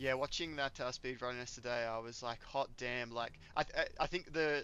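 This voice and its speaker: With an Australian accent, a man talks at a medium pitch. His pitch variation is ordinary. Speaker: gaming streamer. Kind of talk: casual chat while gaming. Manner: halting.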